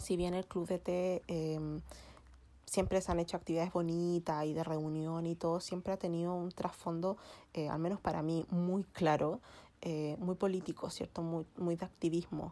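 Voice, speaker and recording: The voice has a dark, mellow tone and monotone, flat intonation. It moves at a fairly slow pace. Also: woman, fairly low pitch for a woman. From Chile. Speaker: feminist podcast host. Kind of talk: casual chat.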